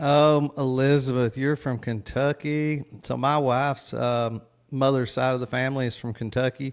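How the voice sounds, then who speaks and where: A man's medium-pitched voice in a strong Tennessee accent with fairly even intonation, on a very clean recording with a silent background. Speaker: podcast host. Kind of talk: casual livestream chat. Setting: livestream with chat.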